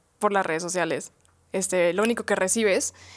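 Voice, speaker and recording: A woman talks at a moderate pace in a plain, everyday voice. Her intonation is lively. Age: 20s. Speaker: podcast co-host. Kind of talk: casual chat.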